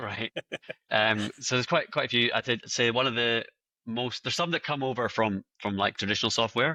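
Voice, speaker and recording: Spoken at a very fast pace, the voice has a bright, sharp tone and a dry, close sound with no echo. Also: man. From Scotland. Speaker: AI compliance company representative. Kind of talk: interview. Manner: halting, many fillers and repeats.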